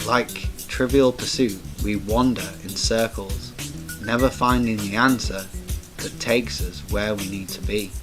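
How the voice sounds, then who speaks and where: Music plays in the background as a man with a fairly low pitch speaks at a fairly slow pace, with lively intonation and big swings in loudness. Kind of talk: spoken word poetry performance.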